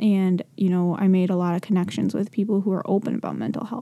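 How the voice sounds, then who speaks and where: A very clean recording with a silent background of a woman's dark, mellow voice at medium pitch and a fairly quick pace. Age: 20s. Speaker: mental health podcaster and blogger. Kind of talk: casual personal monologue. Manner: halting, many pauses; stumbles over words.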